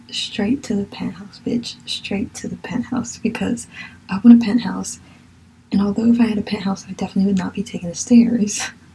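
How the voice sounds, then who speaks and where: Noticeable background noise sits behind a woman with an American accent. She speaks at a fairly quick pace in a medium pitch with monotone, flat intonation. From Virginia, US. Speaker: podcast host. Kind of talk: solo monologue podcast, casual. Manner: passionate, gets carried away on topics.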